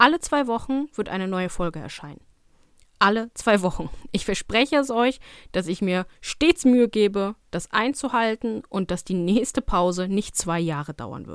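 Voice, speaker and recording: Recorded very cleanly against a silent background with a dry, close sound and no echo, a woman uses an ordinary speaking voice at medium pitch, moderate pace, lively intonation and big swings in loudness. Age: 20s. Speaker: dog trainer and podcast host. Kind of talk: casual solo podcast monologue.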